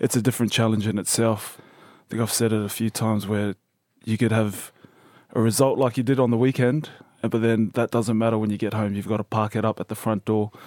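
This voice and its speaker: Fairly quick, monotone, flat delivery in an Australian accent. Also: man, medium pitch for a man. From Brisbane, Australia (born New Zealand). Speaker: professional rugby player. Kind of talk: interview. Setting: studio.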